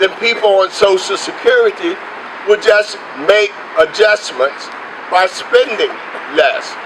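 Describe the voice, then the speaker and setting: Over noticeable background noise, a man speaks at a fairly slow pace with very even loudness and long, frequent pauses. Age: 60s. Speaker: union leader. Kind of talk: rally speech. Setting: outdoor demonstration.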